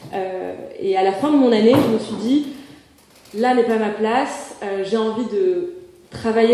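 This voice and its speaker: Noticeable background noise and audible room echo surround a woman whose fairly high voice shows ordinary pitch variation. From Morocco. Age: 20s. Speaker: association president, seminar speaker. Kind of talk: conference talk. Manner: hesitant, many filler sounds.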